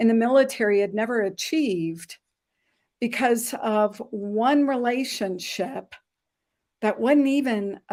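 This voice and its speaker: A woman's dark, mellow tone comes at a very slow pace, broken by long, frequent pauses. Her pitch variation is ordinary. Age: 60s. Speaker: former army nurse and entrepreneur. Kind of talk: interview.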